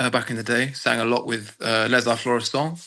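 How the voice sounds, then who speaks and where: Against a quiet background, a man at a medium pitch speaks with a bright, sharp tone. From Dorset, southwest England. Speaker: opera singer. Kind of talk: interview. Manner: hesitant, many fillers.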